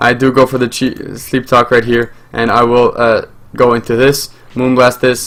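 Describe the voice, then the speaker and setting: A man with a medium pitch speaks at a moderate pace in a monotone, flat intonation. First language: French. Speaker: gaming YouTuber. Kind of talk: live gameplay commentary. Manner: hesitant, many fillers.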